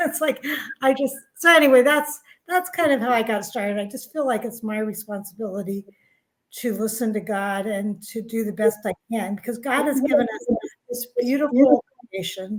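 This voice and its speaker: A woman speaks in a normal speaking voice, fairly high in pitch with ordinary pitch variation, at a moderate pace. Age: 60s. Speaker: author and spiritual guide. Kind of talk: interview.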